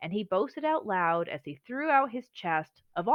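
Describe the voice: Someone is doing plain reading aloud, and the background is quiet.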